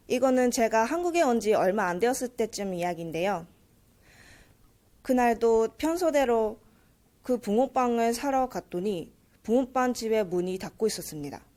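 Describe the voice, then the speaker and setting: With a Japanese accent, the speaker uses a dark, mellow tone and lively intonation at a moderate pace. Long, frequent pauses break up the speech on a very clean recording with a silent background. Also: woman, fairly high pitch for a woman. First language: Japanese (speaking Korean). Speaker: university student, speech contestant. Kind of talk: speech contest speech.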